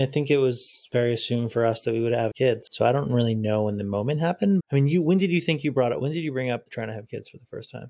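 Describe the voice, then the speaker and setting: Very fast speech with hardly any pauses from a man of medium pitch, dark and mellow in tone with ordinary pitch variation, in a very clean recording with a silent background. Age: 30s. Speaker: husband sharing fertility story. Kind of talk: interview.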